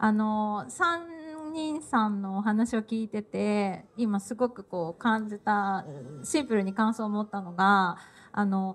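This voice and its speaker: A woman's lively intonation comes through as she talks at a very slow pace. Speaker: talk show facilitator. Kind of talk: panel talk moderation. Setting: live event with audience. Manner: frequent filler words, halting. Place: hall.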